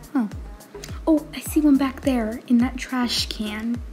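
Over music in the background, a woman speaks with a high pitch and ordinary pitch variation. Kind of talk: casual gameplay commentary.

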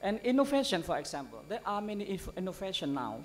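Light background noise sits under a man's high-pitched voice. He moves at a moderate pace with very wide pitch swings. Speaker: conference keynote speaker. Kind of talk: lecture. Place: hall. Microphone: podium.

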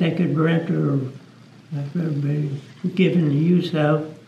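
A man's somewhat breathy voice in a dark, mellow tone, very slow and in a monotone, flat intonation, with audible room echo and light background noise. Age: 80s+. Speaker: muzzleloading rifle shooter. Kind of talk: interview answer. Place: hall.

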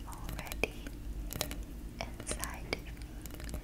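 A soft-spoken woman, whispering. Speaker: affirmation video creator. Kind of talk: soft spoken affirmations. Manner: soft slow whisper of affirmations. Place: home room.

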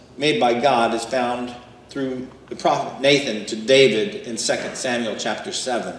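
Audible room echo and light background noise surround a man speaking at a fairly slow pace. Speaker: pastor. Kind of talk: sermon. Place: church.

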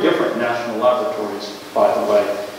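There is strong room echo around a man speaking at a moderate pace. Light background noise is also present. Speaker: invited lecturer. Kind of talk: lecture. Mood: warm, wry humor. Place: hall.

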